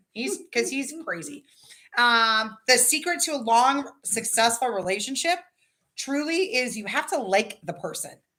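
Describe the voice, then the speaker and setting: A woman with a Californian accent speaks at a fairly slow pace in a high, bright, sharp voice with very wide pitch swings. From Southern California. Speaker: livestream host. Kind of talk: casual chat.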